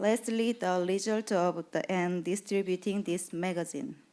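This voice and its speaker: A woman with a Korean accent, fairly slow delivery and ordinary pitch variation. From South Korea. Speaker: patient advocacy program manager. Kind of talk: conference presentation. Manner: reading from a script; halting.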